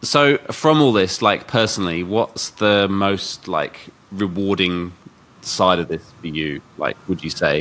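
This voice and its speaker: A man with a British accent talks in a fairly low pitch with lively intonation. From UK. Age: 40s. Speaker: podcast host. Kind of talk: casual interview; podcast intro.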